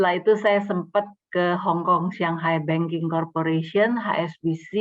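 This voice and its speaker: A woman speaking at a fairly slow pace. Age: 60s. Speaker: speaker at church fellowship, former banker. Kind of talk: talk at church fellowship. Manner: halting.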